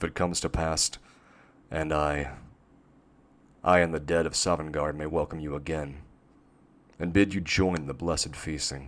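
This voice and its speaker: A man's put-on, rumbling character voice, very deep and low, at a moderate pace with long, frequent pauses. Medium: read story. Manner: rumbling, grave.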